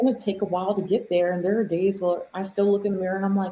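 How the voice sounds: A woman talks at a very fast pace in a medium pitch, her dark, mellow tone carrying a slightly husky edge and little pitch movement.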